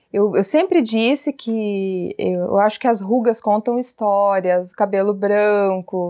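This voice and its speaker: Here a woman with a dark, mellow tone and medium pitch speaks at a very slow pace, with ordinary pitch variation. She leaves hardly any pauses. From Paraná, Brazil (Telêmaco Borba). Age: 30s. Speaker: parenting educator and channel host. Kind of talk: casual interview chat.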